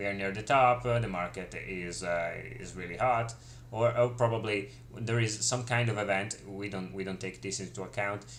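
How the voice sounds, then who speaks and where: This man's voice is fairly low in pitch with ordinary pitch variation, and audible room echo carries it. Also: moderate pace. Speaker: crypto market analyst and trading teacher. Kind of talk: live stream market analysis. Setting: live stream. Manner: halting, many fillers.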